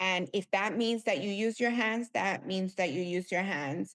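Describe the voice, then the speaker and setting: A voice with a Spanish accent comes through in a very clean recording with a silent background. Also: woman. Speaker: tech executive. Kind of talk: podcast interview.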